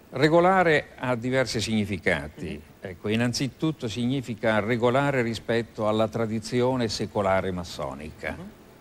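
A man's unremarkable speaking voice at medium pitch and a moderate pace, with lively intonation. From Italy, Abruzzo. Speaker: philosophy professor and Masonic grand master. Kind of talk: TV interview. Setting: TV studio with audience. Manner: formal.

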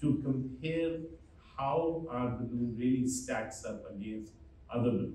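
Medium-pitched male speech at a fairly slow pace with ordinary pitch variation, light background noise, and audible room echo. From India, Delhi. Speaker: physician and chief medical officer; conference presenter. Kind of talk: press conference presentation. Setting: stage with audience. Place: hall.

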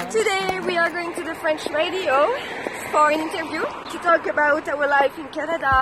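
A woman at a moderate pace, dry sound with no echo and noticeable background noise. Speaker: boudoir photographer. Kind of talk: casual talk to camera. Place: street. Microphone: phone near.

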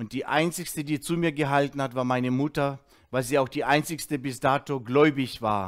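With fairly even intonation, a man speaks at a fairly high pitch and a moderate pace against a quiet background. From Russia, moved to Germany as a child in 1979. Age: 50s. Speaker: former drug addict giving a testimony; speaker. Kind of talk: testimony; teaching. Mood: earnest, reflective. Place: studio. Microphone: headset.

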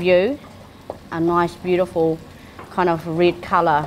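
A woman talks at a fairly slow pace against light background noise. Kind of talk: cooking tutorial. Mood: warm, enthusiastic. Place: kitchen.

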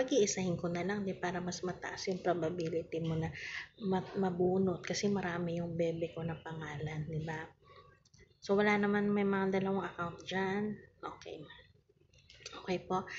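Over light background noise, a woman with a fairly low pitch and fairly even intonation speaks at a moderate pace with long, frequent pauses. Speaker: online seller hosting live raffle. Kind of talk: casual live-stream chat. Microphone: phone near.

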